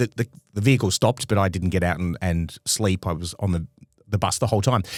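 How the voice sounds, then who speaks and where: A speaker with an Australian accent talks at a very fast pace. The recording is very clean and dry, close-miked with no echo against a silent background. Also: man, very deep, low pitch for a man, ordinary pitch variation. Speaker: comedy podcast co-host. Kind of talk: casual chat. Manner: halting.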